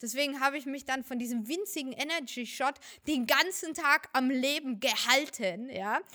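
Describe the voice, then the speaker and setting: A woman projects her raised voice at a high pitch. Her tone is bright and sharp. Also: ordinary pitch variation, moderate pace. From Germany, Fürth (Franconia). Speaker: professional cosplayer. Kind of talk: casual interview.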